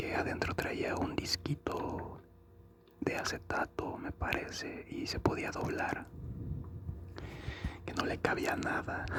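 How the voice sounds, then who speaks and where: The speaker whispers at a very slow pace, with long, frequent pauses and noticeable background noise throughout. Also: man. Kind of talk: ASMR chat about consoles and video games. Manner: soft-spoken, slow, relaxing.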